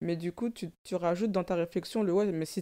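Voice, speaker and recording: At a moderate pace, a woman speaks with fairly even intonation and a dark, mellow tone on a very clean recording with a silent background. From born in Africa, grew up in French banlieue. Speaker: stylist and content creator. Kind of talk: casual chat.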